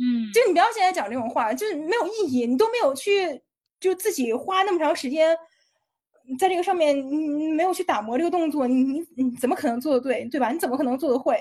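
A woman speaks at a very fast pace in a high voice, full of energy. Her pitch swings very widely up and down. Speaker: fitness video translator and uploader. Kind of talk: casual interview chat. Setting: studio. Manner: forceful, energetic.

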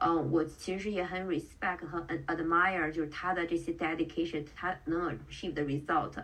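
Over noticeable background noise, a woman speaks at a moderate pace with a fairly low pitch and fairly even intonation. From China (Qingdao). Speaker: tech product manager and amateur bodybuilding competitor. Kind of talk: podcast interview.

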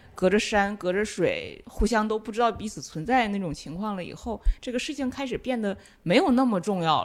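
Woman with a normal speaking voice, lively intonation, big swings in loudness and a fairly quick pace, in a very clean recording with a silent background. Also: fairly high pitch for a woman, hardly any pauses. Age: young. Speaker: film and media researcher. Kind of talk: casual chat.

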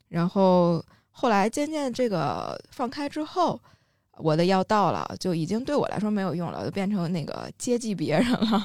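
A woman speaks at a medium pitch and a moderate pace, her voice swinging very widely in pitch. The recording is very clean with a silent background. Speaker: podcast co-host. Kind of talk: casual chat.

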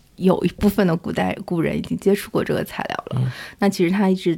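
A woman speaks at medium pitch. She has a plain, everyday voice. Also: very clean recording, silent background. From Shanghai, China. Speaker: museum curator and researcher. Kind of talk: casual interview conversation.

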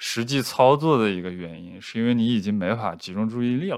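A man's ordinary speaking voice at medium pitch and a moderate pace, on a very clean recording with a silent background. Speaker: guest, partner of the host. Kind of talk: casual chat. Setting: recorded in person in the same room.

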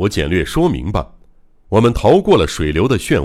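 The text is read aloud in a natural voice.

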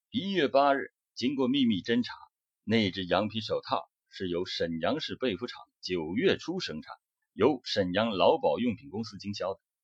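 Heard dry and close with no echo, a man talks at a moderate pace, his loudness swinging widely. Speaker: true-crime narrator. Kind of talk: true-crime narration. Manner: serious, measured, dramatic storytelling.

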